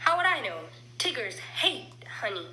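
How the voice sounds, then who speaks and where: Over clear background noise, a woman in a put-on character voice swings very widely around a medium pitch. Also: moderate pace. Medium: read story. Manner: bouncy, exuberant.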